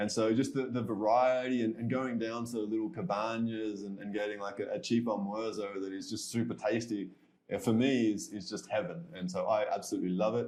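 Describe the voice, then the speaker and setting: Speaking with an Australian accent, a man talks at a fairly quick pace with a medium pitch and ordinary pitch variation. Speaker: expat entrepreneur. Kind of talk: podcast interview.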